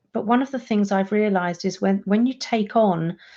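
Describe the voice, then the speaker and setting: In a British accent, a woman speaks with a dark, mellow tone. Her pitch varies ordinarily against a quiet background. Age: 60s. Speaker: coach for introverts. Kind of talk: live stream monologue.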